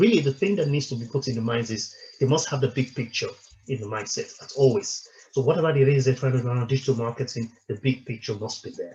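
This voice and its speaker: Somewhat breathy and dark, mellow in tone, a man speaks at medium pitch and a very fast pace. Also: ordinary pitch variation. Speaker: company director presenting a webinar. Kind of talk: webinar presentation. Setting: online webinar. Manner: halting, many repetitions and fillers.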